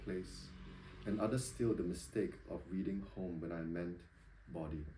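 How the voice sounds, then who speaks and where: A man's somewhat breathy, dark, mellow voice with lively intonation, a Singaporean accent, and audible room echo. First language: not English. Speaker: poet. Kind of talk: poetry reading. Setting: bookshop reading with audience. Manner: hesitant, many ums when talking.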